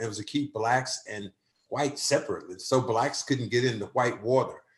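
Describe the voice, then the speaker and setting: A man with an American accent talks at a fairly quick pace in a somewhat breathy voice. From US South. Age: 60s. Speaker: community advocate. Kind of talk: panel discussion.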